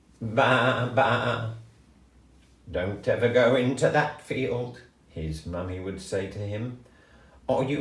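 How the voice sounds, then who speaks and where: A man at medium pitch with lively intonation, a very slow pace and long, frequent pauses, over noticeable background noise. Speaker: grandfather storyteller. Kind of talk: children's story reading. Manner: gentle, warm.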